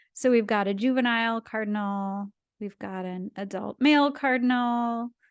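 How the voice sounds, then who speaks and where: With a Canadian accent, a woman speaks in a plain, everyday voice at a fairly high pitch and with fairly even intonation. The sound is dry and close with no echo, against a quiet background. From Canada, Ottawa. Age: 30s. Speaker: cartoonist and science communicator. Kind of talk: illustrated talk. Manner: casual, with fillers.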